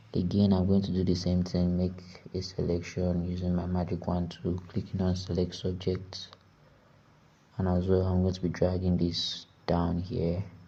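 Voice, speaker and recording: A man with a Nigerian accent, very deep and low in pitch, at a moderate pace with monotone, flat intonation, amid audible room echo and noticeable background noise. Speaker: graphic design tutor. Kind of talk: tutorial. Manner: casual.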